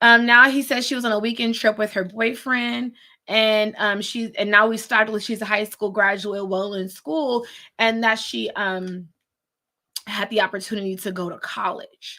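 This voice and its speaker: Loud and bright, sharp in tone, a woman speaks with fairly even intonation on a very clean recording with a silent background. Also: fairly high pitch for a woman, moderate pace. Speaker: attorney and legal commentator. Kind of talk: live legal commentary stream. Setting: live stream watch-along. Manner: casual, conversational.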